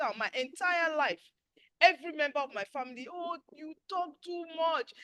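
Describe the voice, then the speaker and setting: At a moderate pace, a woman with an extremely high pitch speaks in a raised, projected voice, her animated, bright, sharp tone carried by lively intonation in a dry, close sound with no echo. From Nigeria. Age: 60s. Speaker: webinar host. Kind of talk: casual chat.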